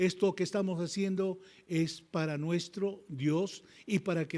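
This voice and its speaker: A man talks at a fairly slow pace with a high pitch and a dark, mellow tone. The recording is very clean, with a silent background. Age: 70s. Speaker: pastor. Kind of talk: sermon. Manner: animated.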